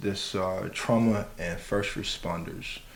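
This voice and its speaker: A man talks at a very slow pace, with audible room echo and noticeable background noise in the recording. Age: 30s. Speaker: podcast host. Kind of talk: casual chat.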